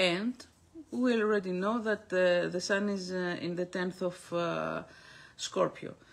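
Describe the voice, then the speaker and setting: A woman's medium-pitched voice in a Greek accent at a fairly slow pace. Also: fairly even intonation. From Greece. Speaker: astrologer. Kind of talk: monthly astrology forecast broadcast. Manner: halting, many fillers.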